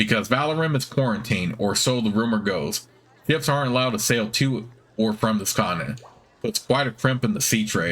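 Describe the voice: Simply plain reading aloud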